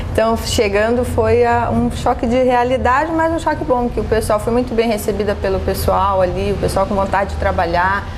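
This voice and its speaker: Moderate pace, hardly any pauses and very even loudness, with audible room echo and noticeable background noise. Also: woman. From Brazil, Curitiba. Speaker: police chief. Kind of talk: TV interview.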